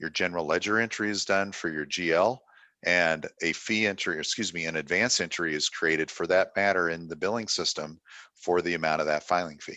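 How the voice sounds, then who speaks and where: A man speaks at a fairly quick pace in a very deep, low pitch. His intonation stays fairly even. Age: 60s. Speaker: software company representative. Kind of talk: product demonstration talk. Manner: casual, with filler words.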